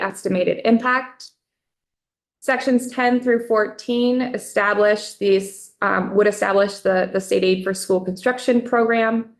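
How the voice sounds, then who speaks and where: A woman talks fairly slowly in an ordinary speaking voice. Her pitch is fairly high, and her intonation is fairly even. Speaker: legislative fiscal analyst. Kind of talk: committee testimony.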